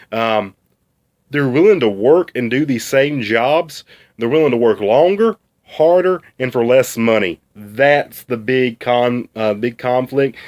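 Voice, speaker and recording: A man with a strong Southern US accent, at a fairly slow pace with ordinary pitch variation, on a very clean, dry, close recording with no echo and a silent background. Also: medium pitch for a man. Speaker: student. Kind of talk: class video presentation. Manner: casual, halting with fillers.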